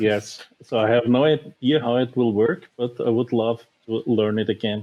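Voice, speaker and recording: Delivered at a moderate pace in a German accent, the speech has very even loudness and fairly even intonation. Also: man, medium pitch for a man. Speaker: board game designer. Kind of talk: podcast interview. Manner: halting.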